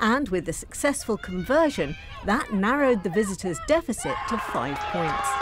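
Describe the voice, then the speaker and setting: Over noticeable background noise, a woman speaks at a moderate pace in an energetic tone, her fairly high pitch moving through very wide swings. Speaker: match commentator. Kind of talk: sports highlights voiceover, scripted recap read in steady narration. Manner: brisk, clipped, energetic, formal.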